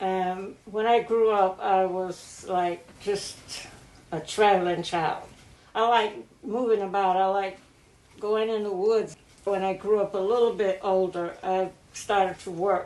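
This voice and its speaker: A woman with a medium-pitched voice speaks at a fairly slow pace, flat and monotone. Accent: American. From rural North Carolina, Columbus County. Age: 80s+. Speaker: elder interviewee. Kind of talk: oral history interview. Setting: at her home.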